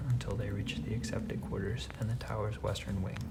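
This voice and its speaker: Whispering and soft-spoken, a man talks over noticeable background noise. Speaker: audiobook reader, ASMR narrator. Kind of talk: whispered fantasy book reading for sleep. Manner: soft-spoken, whispered.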